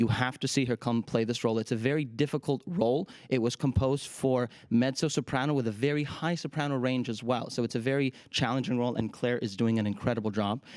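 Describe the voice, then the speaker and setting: At a very fast pace and with hardly any pauses, a man speaks at medium pitch with fairly even intonation. The recording is very clean, its background silent. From Ukraine, Kharkiv. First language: Russian. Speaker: opera singer and artistic director. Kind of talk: TV interview.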